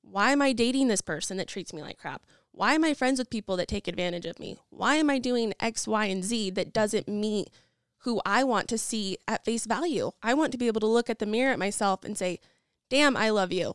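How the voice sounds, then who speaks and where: In an American accent and an ordinary speaking voice, a woman speaks at a fairly quick pace with a fairly high pitch and ordinary pitch variation, on a very clean recording with a silent background and a dry, close sound with no echo. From Idaho (Nampa). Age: 20s. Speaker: real estate agent, property management business owner. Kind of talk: interview. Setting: studio.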